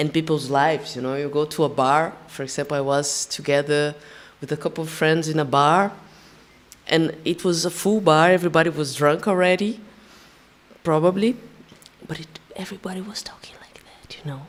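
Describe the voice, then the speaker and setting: Her pitch very deep and low with ordinary pitch variation, a woman with a Brazilian Portuguese accent talks at a moderate pace, with long, frequent pauses and big swings in loudness. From Brazil, São Paulo. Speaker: percussionist and singer. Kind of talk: panel discussion. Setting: stage with live audience. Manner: halting, many restarts.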